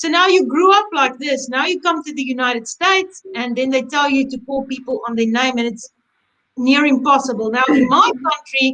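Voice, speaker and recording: A woman uses a raised, projected voice with a high pitch, a bright, sharp tone, ordinary pitch variation and a moderate pace. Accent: South African. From South Africa. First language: Afrikaans. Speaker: embroidery instructor. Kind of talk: webinar chat. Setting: online webinar.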